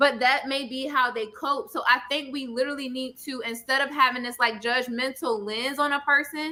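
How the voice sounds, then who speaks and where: A woman with a high pitch speaks at a moderate pace in a raised, projected voice. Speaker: therapist. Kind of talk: panel discussion. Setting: live stream show. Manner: loud; animated.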